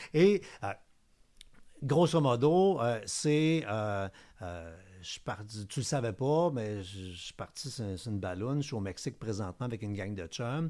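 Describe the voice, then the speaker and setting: At a fairly slow pace with long, frequent pauses, a dark, mellow voice makes very wide pitch swings and big swings in loudness in a very clean recording with a silent background. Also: man, medium pitch for a man. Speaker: cybersecurity expert. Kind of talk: casual chat.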